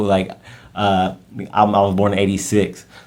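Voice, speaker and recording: This man has a fairly low pitch and an American accent, speaking at a moderate pace. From US Midwest, Warren, Ohio. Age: 30s. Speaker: podcaster. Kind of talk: casual monologue. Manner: halting.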